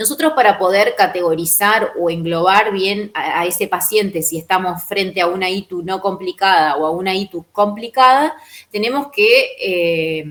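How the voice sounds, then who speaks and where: A woman with a normal speaking voice at a medium pitch talks at a moderate pace. She speaks with hardly any pauses. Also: ordinary pitch variation. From Argentina, Entre Ríos (Colón). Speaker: physician lecturer. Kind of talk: lecture.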